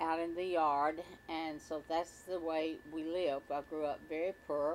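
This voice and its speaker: A woman with an Arkansas accent speaks very slowly at a fairly low pitch. Her intonation is monotone and flat, with light background noise. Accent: Southern US (Arkansas). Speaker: retired country musician; interviewee. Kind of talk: oral history interview. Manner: halting with frequent fillers. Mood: reflective, nostalgic. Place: home room.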